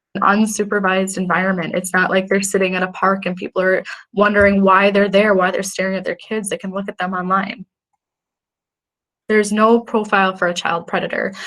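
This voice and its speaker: At a fairly quick pace, a woman talks at medium pitch with monotone, flat intonation. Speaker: police crime analyst presenter. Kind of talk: presentation. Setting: virtual event. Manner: fast.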